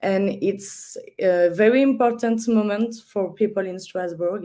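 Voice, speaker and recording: The voice has a dark, mellow tone and a French accent. Delivery is fairly slow, with fairly even intonation. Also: woman. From France. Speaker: festival artistic director. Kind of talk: online panel discussion. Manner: halting.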